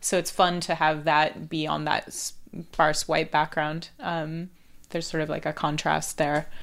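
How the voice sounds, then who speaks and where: A woman with an American accent and a very deep, low pitch speaks fairly slowly in a monotone, flat intonation, on a very clean recording with a silent background. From Northern California, Palo Alto. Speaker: artist and cartoonist. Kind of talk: casual interview. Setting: at guest's home with dog.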